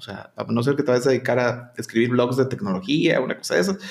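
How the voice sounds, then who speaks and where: A man talks fairly quickly while background noise is clearly noticeable. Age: 40s. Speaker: English teacher. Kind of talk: casual chat.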